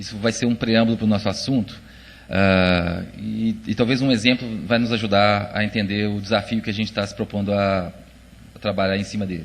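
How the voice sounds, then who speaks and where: A man speaks with a Minas Gerais accent. His pitch is fairly low and his intonation fairly even. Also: moderate pace. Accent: mineiro (Minas Gerais). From Minas Gerais, Brazil. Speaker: conference speaker. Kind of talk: presentation talk. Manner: hesitant, many fillers.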